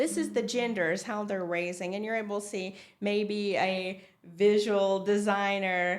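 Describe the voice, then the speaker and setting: Speaking at a fairly slow pace in a Tennessee accent, a woman keeps a medium pitch and fairly even intonation. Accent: Tennessee (Southern US). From Tennessee, USA. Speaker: designer. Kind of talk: interview answer.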